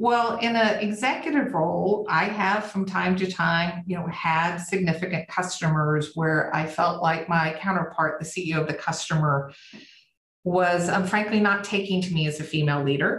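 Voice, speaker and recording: In a Southern US accent, a woman talks at a moderate pace. Her pitch is fairly low and varies an ordinary amount. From US South. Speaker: company CEO. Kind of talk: interview.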